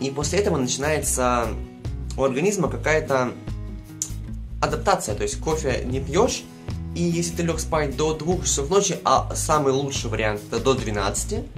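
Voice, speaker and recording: Over clear background music, a man speaks at a moderate pace with long, frequent pauses. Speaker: vlogger. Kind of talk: casual vlog chat. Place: home room.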